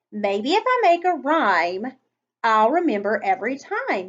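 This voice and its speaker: Loud and fairly slow, a woman uses a put-on character voice with a high pitch and very wide pitch swings. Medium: read story. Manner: loud, exuberant.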